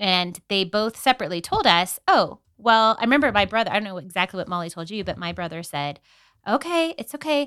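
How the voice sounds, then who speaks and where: A woman speaks at a fairly quick pace in a bright, sharp tone, with very wide pitch swings and big swings in loudness. The recording is very clean, with a silent background. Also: medium pitch for a woman. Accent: Californian. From San Diego, California. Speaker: podcast co-host. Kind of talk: casual chat.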